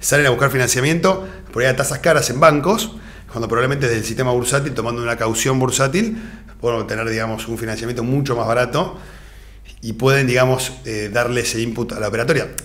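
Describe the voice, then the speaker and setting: A man speaks in a Rioplatense accent. His pace is very fast, with ordinary pitch variation. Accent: Argentine Rioplatense Spanish. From Argentina. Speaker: financial advisor; guest. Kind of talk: interview. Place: studio. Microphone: studio mic.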